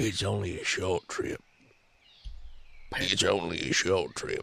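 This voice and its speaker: Put-on character voice from a man, raspy and at a fairly slow pace. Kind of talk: rasping celebrity impression. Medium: actual play. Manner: smooth, calmly menacing.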